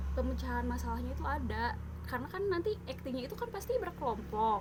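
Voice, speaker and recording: Noticeable background noise and audible room echo fill the clip while a woman talks. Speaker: teacher-training student. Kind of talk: casual video presentation. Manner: hesitant, many fillers.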